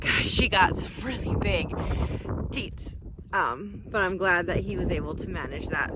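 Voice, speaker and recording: Noticeable background noise and audible room echo around a female speaker. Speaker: cattle farmer vlogger. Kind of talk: casual vlog narration. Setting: outdoors and in a barn on a farm.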